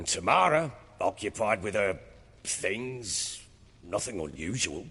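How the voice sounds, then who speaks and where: A man's put-on character voice, raspy and fairly low-pitched, with very wide pitch swings and a fairly slow pace. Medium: video game. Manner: gruff, coarse, blunt.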